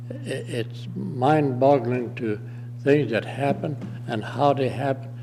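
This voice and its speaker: A man at a very slow pace, in a monotone, flat intonation, over noticeable background noise. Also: medium pitch for a man. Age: 80s+. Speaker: war veteran. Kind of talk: public testimony at county meeting. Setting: county commissioners meeting room. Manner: halting.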